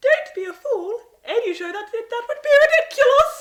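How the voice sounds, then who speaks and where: A woman's put-on character voice, squeaky and extremely high-pitched, with very wide pitch swings at a moderate pace. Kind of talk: cliché sitcom comic overacting. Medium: comedy sketch. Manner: prim, formal.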